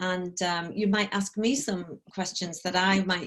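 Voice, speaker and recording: This woman speaks with a slight northeast English accent. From northeast England, Sunderland. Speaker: corporate trainer and coach. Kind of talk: online talk. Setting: video call. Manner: casual, filler-heavy.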